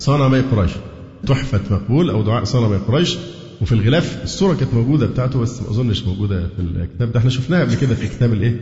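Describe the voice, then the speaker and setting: Speaking at a very fast pace with lively intonation, a man with an Egyptian accent is heard through audible room echo and noticeable background noise. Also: medium pitch for a man. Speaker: Islamic preacher. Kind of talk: lecture.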